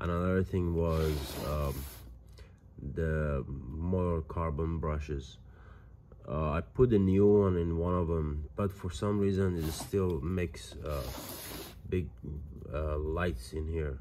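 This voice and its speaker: Over noticeable background noise, a man with a very deep, low pitch and a dark, mellow tone speaks at a very slow pace, with ordinary pitch variation and long, frequent pauses. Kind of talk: casual vlog chat. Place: home room. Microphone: phone near.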